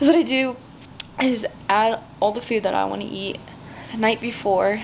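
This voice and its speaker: There is noticeable background noise behind this woman. She speaks at a moderate pace with a fairly high pitch. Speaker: fitness vlogger. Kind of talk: casual vlog talk. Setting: gym.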